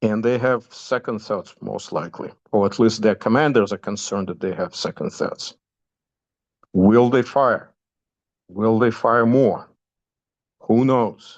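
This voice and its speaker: Against a quiet background, a man with a Russian accent speaks at a fairly slow pace with fairly even intonation and long, frequent pauses. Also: medium pitch for a man. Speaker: commentator giving news updates. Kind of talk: informal talk within a class. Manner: halting, many fillers.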